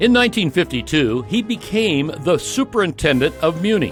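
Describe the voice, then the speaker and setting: Music is heard behind the voice. Its pitch rises and falls very widely. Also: man. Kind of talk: documentary narration.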